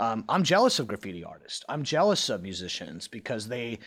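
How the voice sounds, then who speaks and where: A man with a Midwestern American accent speaks at medium pitch in a very clean recording with a silent background. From US Midwest (Cincinnati, Ohio). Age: 40s. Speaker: video game design director. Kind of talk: casual interview.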